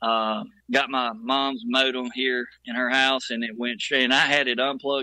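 This man's voice sits at a medium pitch. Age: 50s. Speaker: audio engineer and producer. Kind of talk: casual chat.

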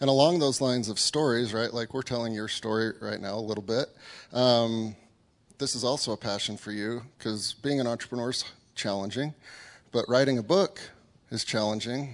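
A man at a medium pitch and moderate pace, with ordinary pitch variation and long, frequent pauses. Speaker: interviewer host. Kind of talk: live interview.

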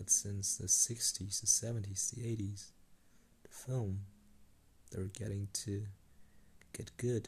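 A man's fairly low-pitched, somewhat breathy voice with a dark, mellow tone, flat monotone intonation and a fairly slow pace. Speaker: solo podcaster. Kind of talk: unscripted monologue. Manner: hesitant, halting.

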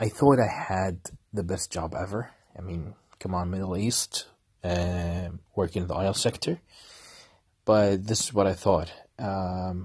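A man's very deep, low voice, somewhat breathy, at a fairly slow pace with long, frequent pauses, fairly even intonation and a quiet background. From Kuwait. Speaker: podcaster, former marine officer. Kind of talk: personal monologue. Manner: halting.

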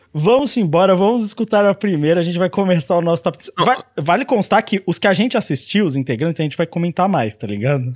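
With hardly any pauses, the voice moves at a fairly quick pace through very wide pitch swings in a dry, close sound with no echo. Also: man, high pitch for a man. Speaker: anime podcast host. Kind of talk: casual chat. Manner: animated.

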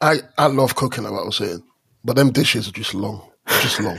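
A man at a medium pitch with an animated tone. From London and Stranraer, Scotland. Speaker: podcast co-host. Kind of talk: casual chat.

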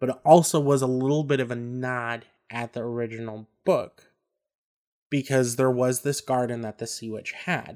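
In a normal speaking voice, a man talks with fairly even intonation and big swings in loudness. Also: medium pitch for a man, moderate pace. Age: 30s. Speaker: podcast co-host. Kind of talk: casual chat.

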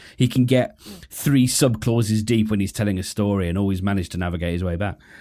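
A fairly low-pitched man with a British accent at a fairly quick pace, on a very clean recording with a silent background. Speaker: podcast host. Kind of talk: casual monologue. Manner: fast; halting, many fillers.

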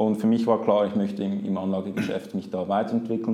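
The voice carries a Swiss accent. Audible room echo surrounds it. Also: man. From Switzerland, Zurich. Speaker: investment product specialist. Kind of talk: interview.

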